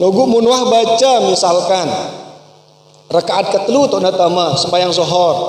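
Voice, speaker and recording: A high-pitched man with ordinary pitch variation and a Lombok accent, over noticeable background noise. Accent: Sasak (Pancor dialect). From Lombok, Indonesia. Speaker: Islamic religious teacher. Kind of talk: religious study lecture.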